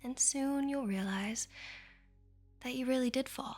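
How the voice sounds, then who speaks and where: A soft-spoken woman talks in a soothing tone with ordinary pitch variation. Music plays in the background. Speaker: ASMR artist. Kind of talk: sleep hypnosis. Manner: slow, soothing.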